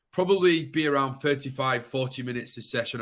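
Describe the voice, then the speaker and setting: Here a man speaks with a northern English accent and a bright, sharp tone. His pitch varies in an ordinary way. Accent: broad northern English. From Yorkshire, northern England. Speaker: webinar presenter. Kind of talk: webinar host waiting-room chat. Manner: casual, filler-heavy.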